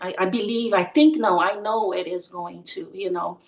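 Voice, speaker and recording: With a non-native accent, a woman speaks at medium pitch and a moderate pace, her intonation lively. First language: not English. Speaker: participant. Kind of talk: testimony. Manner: halting.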